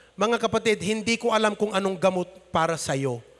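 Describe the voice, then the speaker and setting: The voice is raised and projected, with a bright, sharp tone and ordinary pitch variation. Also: man, quiet background. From Philippines, Ilocos region. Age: 30s. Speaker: pastor. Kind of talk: sermon. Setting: church. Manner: animated. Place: church. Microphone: handheld.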